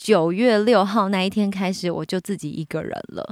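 A woman at medium pitch and moderate pace, in a dry, close sound with no echo. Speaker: podcast host, entertainer and author. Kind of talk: casual chat. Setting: studio.

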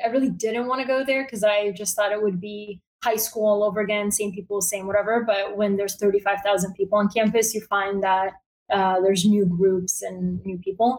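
A woman with a Bulgarian accent speaks at a fairly quick pace. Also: medium pitch for a woman, fairly even intonation. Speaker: newsletter founder, journalist. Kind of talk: interview. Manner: casual, filler-heavy (um, like).

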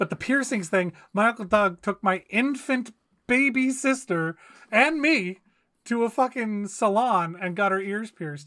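A man speaks in a raised, projected voice, high-pitched, bright and sharp in tone, with lively intonation. His pace is fairly slow, and the recording is very clean with a silent background. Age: 30s. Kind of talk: casual chat.

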